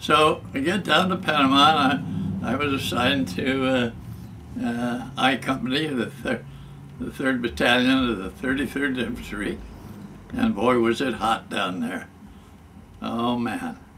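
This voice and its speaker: A medium-pitched man with an American accent, lively intonation and a fairly slow pace, over noticeable background noise. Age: 90s. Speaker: war veteran. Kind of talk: oral history interview. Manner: halting, many fillers.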